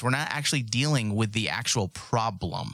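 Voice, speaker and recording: Lively intonation colors a man's medium pitch as he talks at a moderate pace in an ordinary speaking voice. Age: 40s. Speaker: podcast host. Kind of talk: casual chat. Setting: studio.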